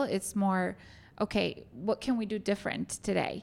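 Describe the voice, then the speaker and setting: A woman talks with a Spanish accent. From Argentina. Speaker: hotel general manager. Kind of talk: interview. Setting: hotel meeting room.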